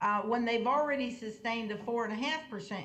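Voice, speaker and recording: This woman's voice sits at a fairly high pitch with fairly even intonation. Audible room echo surrounds it. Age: 70s. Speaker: police board commissioner. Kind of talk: public meeting discussion.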